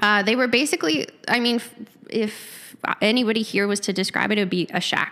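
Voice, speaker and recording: A woman with a Manitoban accent, fairly high-pitched and bright and sharp in tone, at a fairly quick pace, with ordinary pitch variation and very even loudness. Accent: Canadian (Manitoba). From rural Manitoba, Canada (near Lorette). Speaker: gym member sharing recovery story. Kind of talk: interview testimony. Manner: quiet. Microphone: handheld mic held too far away.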